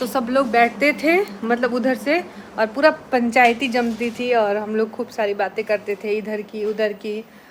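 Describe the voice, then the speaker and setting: A woman speaks with a fairly high voice and fairly even intonation. Noticeable background noise is present. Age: 20s. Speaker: village vlogger, housewife. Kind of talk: casual vlog talk to camera. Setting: at home at night.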